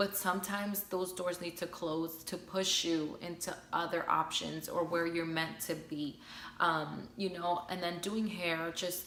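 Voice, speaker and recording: A woman with a fairly low pitch speaks at a fairly slow pace in a monotone, flat intonation, with audible room echo and noticeable background noise. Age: 20s. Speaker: hairstylist and advice vlogger. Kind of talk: casual advice vlog. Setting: at home. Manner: relaxed, chatty.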